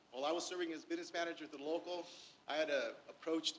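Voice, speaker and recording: A man with an American accent talks at a very fast pace. His high pitch shows ordinary variation. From Inland Empire, Southern California. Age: 60s. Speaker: union labor leader. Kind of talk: public comment at board meeting. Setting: public board meeting. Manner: halting, many fillers.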